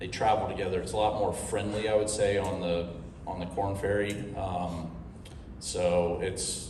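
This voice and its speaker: A man with an American accent talks at a moderate pace and fairly low pitch with monotone, flat intonation, amid noticeable background noise and audible room echo. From Ohio, US Midwest. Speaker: professional golfer. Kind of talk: media interview. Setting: media day press session.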